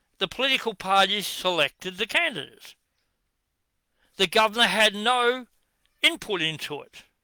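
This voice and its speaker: A man with a strong Australian accent speaks in a high, raised and projected voice at a moderate pace, his lively intonation and bright, sharp tone broken by long, frequent pauses, all in a very clean, dry, close recording with no echo and a silent background. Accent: broad Australian. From Western Australia, Perth. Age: 70s. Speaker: political commentator. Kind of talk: monologue rant. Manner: animated.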